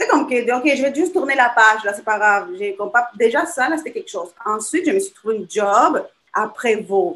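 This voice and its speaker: A woman with a Spanish accent speaks at a moderate pace in a high voice that swings very widely in pitch. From Chile. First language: Spanish (speaking French). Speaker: small business owner. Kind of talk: casual interview.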